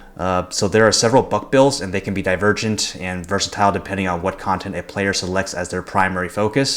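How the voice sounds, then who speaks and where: A man at a very fast pace, fairly low in pitch with fairly even intonation, over noticeable background noise. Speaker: gaming YouTuber. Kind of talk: gameplay commentary.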